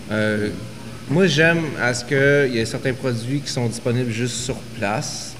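Over noticeable background noise and audible room echo, a man talks fairly slowly at a medium pitch with ordinary pitch variation. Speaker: craft brewery and distillery co-owner. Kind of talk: casual chat.

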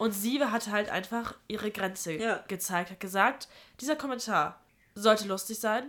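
A woman speaks in an ordinary speaking voice. Her pitch is fairly high, with ordinary variation, at a moderate pace. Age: 20s. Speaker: university student. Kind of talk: casual chat.

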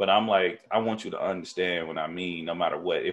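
A man with an American accent speaks at a fairly quick pace. Music plays in the background. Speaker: podcast host. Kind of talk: casual, profane. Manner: energetic, emphatic talker.

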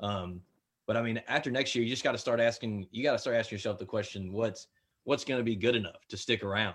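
A man speaks very fast in a Memphis accent, his pitch medium and his intonation fairly even. The recording is very clean with a silent background. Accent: US Southern (Memphis). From Memphis, Tennessee. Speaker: podcaster. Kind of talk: casual chat.

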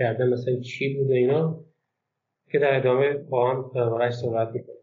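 Audible room echo surrounds a man who speaks at a moderate pace and medium pitch in a monotone, flat intonation. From Golestan province, Iran (Turkmen Sahra area). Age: 30s. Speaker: book translator. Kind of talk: casual interview.

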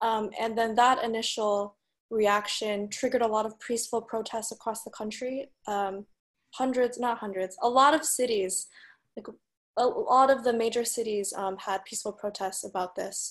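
Fairly high pitch from a woman with a plain, everyday voice, fairly even intonation, a moderate pace, and a quiet background. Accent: American. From United States. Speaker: podcast guest, Chinese American. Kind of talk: casual discussion of current events.

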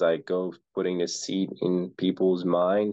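Flat and monotone, a man speaks at a very deep, low pitch. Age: 20s. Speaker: real estate investor. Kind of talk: casual interview.

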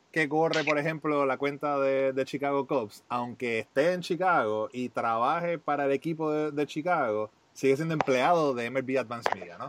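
A plain, everyday voice at a fairly slow pace, with ordinary pitch variation. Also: man. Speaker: podcast host. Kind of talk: scripted intro; casual interview chat.

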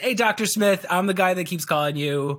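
With an American accent, a man speaks at a fairly quick pace, his voice high and his intonation lively. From US Midwest, Chicago. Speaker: video coach and former comedian in sales. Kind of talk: casual interview.

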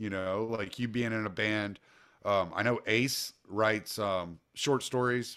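Against a silent background in a very clean recording, a man speaks at a fairly slow pace. His fairly low pitch carries a bright, sharp tone with fairly even intonation. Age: 40s. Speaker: political activist. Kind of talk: casual chat.

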